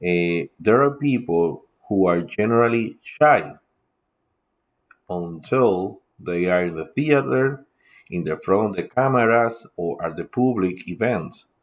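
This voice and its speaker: A man talks with a Spanish accent and lively intonation. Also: fairly slow pace. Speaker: teacher and podcaster. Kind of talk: casual lecture. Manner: halting, with filler sounds.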